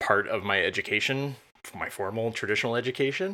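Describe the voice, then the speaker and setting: A man with an American accent speaks in a bright, sharp tone with ordinary pitch variation. The recording is very clean, with a silent background. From US Midwest, central Illinois. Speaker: UX designer and developer. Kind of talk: casual interview conversation.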